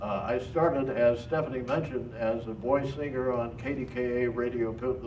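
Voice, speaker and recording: A man with an American accent speaks at a medium pitch with fairly even intonation. Audible room echo and noticeable background noise are present. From Pittsburgh, Pennsylvania. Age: 80s+. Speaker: retired TV weatherman and speaker. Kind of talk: talk to an audience. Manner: halting, many fillers.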